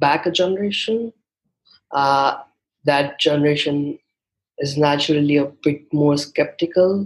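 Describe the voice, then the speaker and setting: With an Indian accent, a man speaks at a fairly slow pace in a fairly high pitch, with ordinary pitch variation. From India, Mumbai. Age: 20s. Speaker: guest, young freelancer. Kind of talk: casual interview chat.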